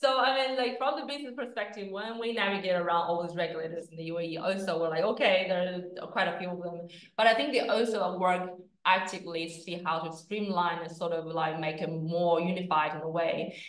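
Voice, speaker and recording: A woman with a slight Australian accent speaks at a fairly quick pace and a fairly low pitch. Her pitch varies in an ordinary way, and audible room echo surrounds her voice. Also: quiet background. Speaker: crypto exchange executive. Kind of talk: interview. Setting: office. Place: office.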